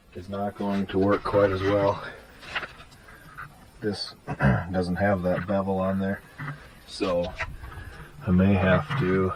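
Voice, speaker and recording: A man at a very slow pace, in a monotone, flat intonation, over noticeable background noise. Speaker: car hobbyist. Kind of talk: casual talk to camera. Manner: casual, hesitant.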